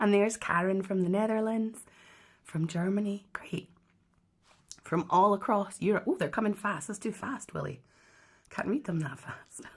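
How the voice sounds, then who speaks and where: Speaking in a Scottish accent, a woman uses a medium pitch and a somewhat breathy voice. Her pace is moderate, with long, frequent pauses. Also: ordinary pitch variation. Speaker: harpist and online harp teacher. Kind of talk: live stream hosting and interview. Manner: animated, enthusiastic.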